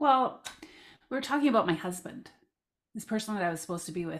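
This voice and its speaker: With a Canadian accent, this voice moves at a fairly quick pace and has very wide pitch swings. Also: woman. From Southern Alberta, Canada. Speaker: life coach and parent of transgender child. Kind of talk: casual interview, personal story.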